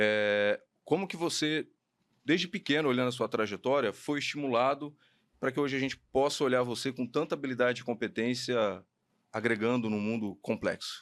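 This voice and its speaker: In a very clean recording with a silent background, a man with a medium pitch and an unremarkable speaking voice talks at a moderate pace with ordinary pitch variation. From Paraná, Brazil (Maringá). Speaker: podcast host, HR educator. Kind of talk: podcast interview.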